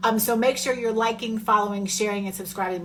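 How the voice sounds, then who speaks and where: An animated woman is speaking. Audible room echo surrounds her voice. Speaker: podcast host. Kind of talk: casual chat.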